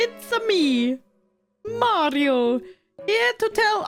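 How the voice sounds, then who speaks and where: A put-on character voice in an Italian accent speaks at a very slow pace over faint background music. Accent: exaggerated Italian. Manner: cheerful.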